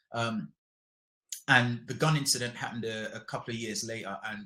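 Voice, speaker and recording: Bright, sharp tone from a man at a medium pitch. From London, Hackney (moved from rural Jamaica at six). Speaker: polar explorer and TV presenter. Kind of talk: interview podcast. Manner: casual, conversational.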